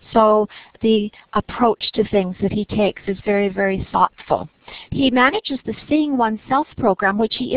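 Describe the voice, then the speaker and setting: At a moderate pace, a woman speaks at medium pitch in an unremarkable speaking voice with ordinary pitch variation. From Nova Scotia, Canada. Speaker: webinar moderator. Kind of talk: webinar introduction. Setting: online webinar.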